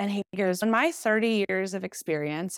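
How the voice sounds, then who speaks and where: An ordinary speaking voice from a woman at a moderate pace, with ordinary pitch variation. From US South, Nashville, Tennessee. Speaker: podcast guest. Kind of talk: casual chat.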